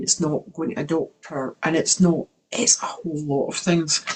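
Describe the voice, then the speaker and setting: A woman speaks at a moderate pace with a very deep, low pitch. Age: 60s. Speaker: wellness coach. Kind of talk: online workshop talk.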